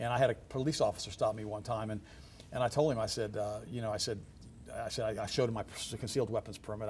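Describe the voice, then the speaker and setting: A man with a medium pitch talks at a very fast pace. His voice is somewhat breathy, with fairly even intonation. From Germany. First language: German. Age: 60s. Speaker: health ministry guest. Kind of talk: TV talk show interview. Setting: TV studio.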